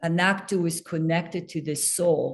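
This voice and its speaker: The speaker talks at a fairly slow pace in a French accent over a quiet background. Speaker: acting coach. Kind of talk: casual chat.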